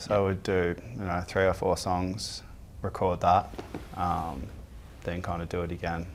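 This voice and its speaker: Very deep and low in pitch, a man talks with an Australian accent in a monotone with flat intonation. He moves at a fairly slow pace with long, frequent pauses. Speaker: band member. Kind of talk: interview.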